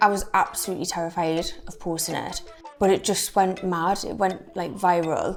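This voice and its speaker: With music playing in the background, a woman speaks in a Geordie accent. Her intonation is monotone and flat, with big swings in loudness. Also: medium pitch for a woman, moderate pace. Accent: North East England (Geordie). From English Midlands. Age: 20s. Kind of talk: interview answer.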